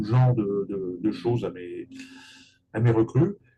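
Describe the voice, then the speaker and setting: Somewhat breathy and fairly slow, a man speaks at medium pitch with a dark, mellow tone. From Paris region, France. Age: 60s. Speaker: real estate agent and business coach. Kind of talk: interview.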